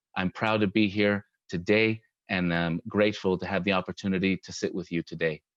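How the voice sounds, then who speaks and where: A man with a Spanish accent and a very deep, low pitch speaks in a monotone, flat way at a fairly quick pace, with a dry, close sound with no echo and a quiet background. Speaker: mayoral candidate, architect. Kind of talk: candidate forum opening statement.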